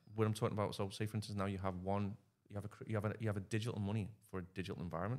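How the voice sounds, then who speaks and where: A man's fairly low voice, monotone and flat, at a very fast pace. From northwest England, Liverpool. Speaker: podcast guest. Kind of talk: casual chat.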